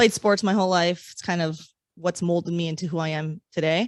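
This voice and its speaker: Fairly quickly and with fairly even intonation, a woman with a normal speaking voice talks in an American accent at a fairly low pitch, in a very clean recording with a silent background. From Southern California. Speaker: police sergeant. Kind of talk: casual interview chat. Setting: studio.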